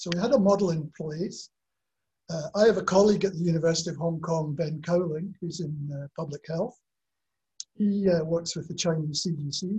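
With a Scottish accent, a man speaks at a moderate pace in a high pitch, his dark, mellow tone carried by fairly even intonation. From Scotland. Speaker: professor. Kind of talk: webinar panel talk. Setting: video call.

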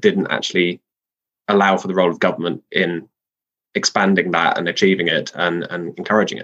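A man speaks with a London accent. His pace is fairly quick. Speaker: political writer. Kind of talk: casual interview. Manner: hesitant with many fillers.

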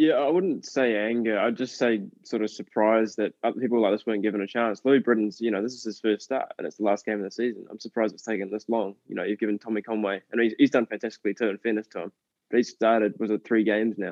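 A man talks at a very fast pace with medium pitch and fairly even intonation. His loudness swings widely. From New Zealand. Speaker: poster designer and football fan.

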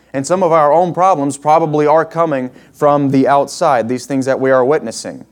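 A plain, everyday voice speaks at a moderate pace with ordinary pitch variation. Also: man. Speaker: guest preacher. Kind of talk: sermon. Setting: church with congregation.

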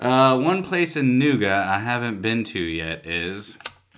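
A man's very deep, low voice with very wide pitch swings, in a room with audible echo. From Tennessee (Cleveland, from age 12). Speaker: mixologist. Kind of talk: casual chat; tutorial.

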